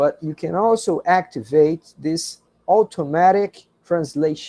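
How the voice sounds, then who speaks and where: At a fairly slow pace, a man with a non-native accent speaks at a high pitch. His tone is dark and mellow, with ordinary pitch variation. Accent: non-native English speaker. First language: Portuguese. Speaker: university professor. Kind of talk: lecture. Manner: slow, careful pronunciation.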